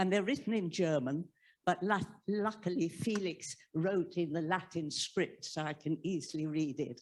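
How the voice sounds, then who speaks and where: In an English accent, a woman speaks at a fairly slow pace and fairly low pitch, with ordinary pitch variation. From England. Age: 80s+. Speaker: audience member. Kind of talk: audience question at book talk. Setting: library event with live audience. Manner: halting.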